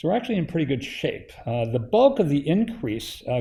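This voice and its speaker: Slightly breathy, the man's voice carries a dark, mellow tone. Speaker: institute director chairing advisory council. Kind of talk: presentation to advisory council. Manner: hesitant, many filler uhs.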